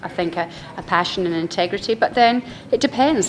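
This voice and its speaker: A woman at a fairly quick pace, with noticeable background noise. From Scotland. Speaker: winery owner. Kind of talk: interview. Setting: wine trade event.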